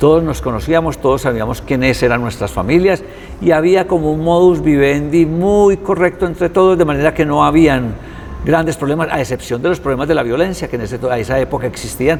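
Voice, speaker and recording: A man with a fairly high pitch and ordinary pitch variation at a fairly quick pace, over noticeable background noise. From Colombia, Quimbaya (Quindío). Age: 60s. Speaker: visual artist. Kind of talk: interview.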